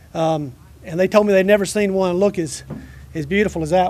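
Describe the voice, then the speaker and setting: Pitched high, a man talks with a strong Georgia accent and ordinary pitch variation. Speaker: retired military officer. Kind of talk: ceremony speech.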